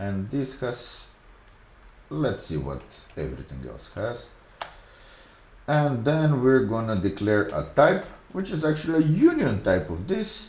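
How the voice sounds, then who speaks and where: A man with a Macedonian accent talks at a fairly slow pace, with long, frequent pauses. His loudness swings widely, and the room echo is audible. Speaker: programming streamer. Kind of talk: live coding tutorial. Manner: halting, thinking aloud.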